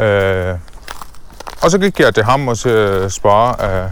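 A man speaks with an Arabic accent. Noticeable background noise sits behind him. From Syria (Damascus), Palestinian family. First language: Arabic (speaking Danish). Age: 20s. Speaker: entrepreneur. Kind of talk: casual interview. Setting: outdoors walking in a forest. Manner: halting with many fillers.

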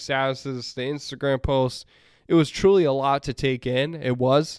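A man with a normal speaking voice, medium pitch, fairly even intonation and moderate pace, in a very clean recording with a silent background and a dry, close sound with no echo. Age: 30s. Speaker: sports podcast host. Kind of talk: solo sports talk podcast.

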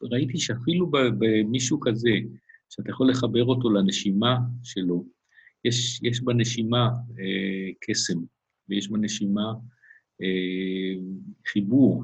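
At a very slow pace, a man speaks in a somewhat breathy voice with a fairly low pitch and ordinary pitch variation. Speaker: acupuncturist. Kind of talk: interview. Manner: hesitant with frequent fillers.

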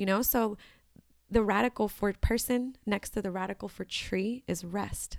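A woman with an American accent speaks at a moderate pace and medium pitch with fairly even intonation, a plain, everyday voice, on a very clean recording with a silent background. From Washington D.C. suburbs. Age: 20s. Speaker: farmer and artist. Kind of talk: casual interview.

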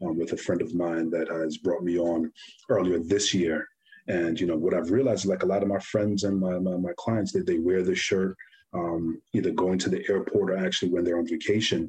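A man speaks in a New York accent, his pitch very deep and low. His intonation stays flat and monotone, with very even loudness throughout. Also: fairly quick pace. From New York (Brooklyn), Guyanese family. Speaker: clothing brand founder. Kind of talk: casual interview.

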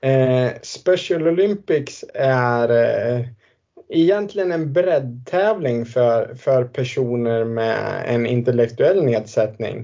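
Speaking very slowly, a man with a medium-pitched voice uses lively intonation. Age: 30s. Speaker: former Paralympic swimmer. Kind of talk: interview. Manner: halting.

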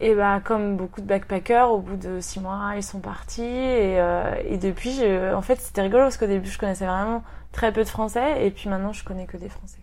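A woman with an ordinary speaking voice talks at medium pitch and a moderate pace. Her intonation is fairly even, while her loudness swings widely. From Brittany, France (Rennes). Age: 30s. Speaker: expatriate, aspiring singer. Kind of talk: interview.

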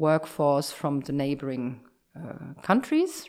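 In a very clean recording with a silent background, a woman talks at a moderate pace with a German accent. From Germany. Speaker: insurance executive. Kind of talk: interview. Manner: halting.

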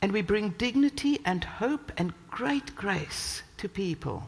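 A woman with a South African accent at a very slow pace, medium pitch and lively intonation. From South Africa, Cape Town. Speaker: church leader and guest preacher. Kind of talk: sermon. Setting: church. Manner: animated.

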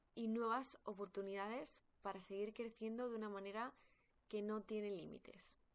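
An ordinary speaking voice at a moderate pace, with fairly even intonation and very even loudness. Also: woman, fairly high pitch for a woman. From Spain. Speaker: podcast host, personal growth coach. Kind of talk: personal storytelling monologue.

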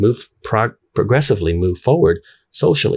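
Speaking at a fairly slow pace, a man with a fairly low pitch and a somewhat breathy voice makes very wide pitch swings. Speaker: YouTuber. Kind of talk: monologue commentary. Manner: casual, with fillers.

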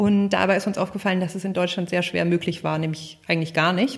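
A woman's normal speaking voice, medium in pitch, with fairly even intonation. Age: 30s. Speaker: company founder. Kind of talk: interview.

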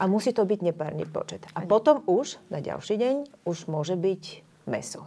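A woman with a Bulgarian accent speaks with lively intonation. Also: medium pitch for a woman, moderate pace. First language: Bulgarian (speaking Slovak). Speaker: painter and cultural organizer. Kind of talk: panel discussion.

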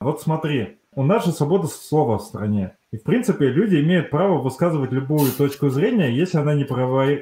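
At a fairly quick pace, a man with a fairly high pitch speaks in a somewhat breathy voice with lively intonation and very even loudness. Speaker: podcast host. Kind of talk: casual chat.

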